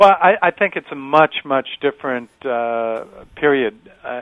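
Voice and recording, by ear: The sound is dry and close with no echo as a man speaks at a moderate pace.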